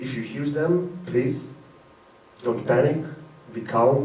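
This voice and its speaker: Recorded with audible room echo and noticeable background noise, a man talks at a medium pitch with ordinary pitch variation. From Ukraine, Crimea. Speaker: performance artist. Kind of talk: live event speech to audience. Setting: stage with audience.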